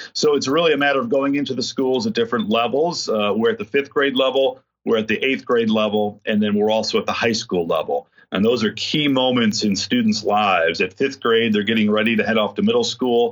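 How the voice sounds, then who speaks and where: An unremarkable speaking voice moves at a fairly quick pace with hardly any pauses. Its loudness stays very even, and its pitch varies in an ordinary way. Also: man, medium pitch for a man. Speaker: corporate community engagement director. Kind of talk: interview.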